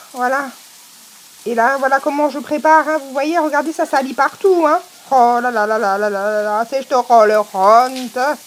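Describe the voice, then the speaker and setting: A woman speaks in a high pitch with an Alsatian accent and ordinary pitch variation. She takes long, frequent pauses, and there is noticeable background noise. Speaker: cooking video host. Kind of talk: casual talk to camera. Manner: humorous, chatty.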